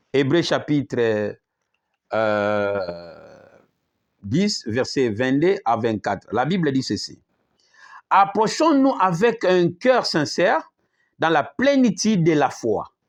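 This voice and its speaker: A man with a fairly high pitch speaks at a very slow pace, with long, frequent pauses. His pitch swings very widely against a quiet background. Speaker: apostle preacher. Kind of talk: sermon.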